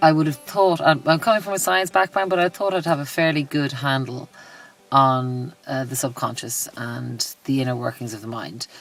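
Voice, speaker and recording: A woman with a Dublin accent talks at a moderate pace, her very deep, low pitch carrying lively intonation. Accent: Dublin Irish. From Ireland, Dublin. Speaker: life coach and yoga instructor. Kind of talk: interview testimonial. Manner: halting, many fillers and repetitions.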